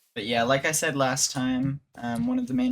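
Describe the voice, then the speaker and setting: Speech comes at a moderate pace. There is noticeable background noise. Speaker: gaming YouTuber. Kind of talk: casual gameplay commentary. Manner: trying to speak louder.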